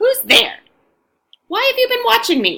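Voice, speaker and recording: A woman uses a put-on character voice pitched extremely high, with hissing. Her pace is moderate. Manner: suspicious, wary.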